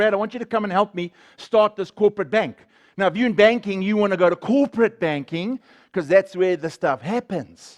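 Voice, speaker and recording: Loud and animated, a man with a high pitch speaks at a moderate pace with ordinary pitch variation, his voice dry and close with no echo against a quiet background. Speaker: guest speaker sharing testimony. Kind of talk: testimony.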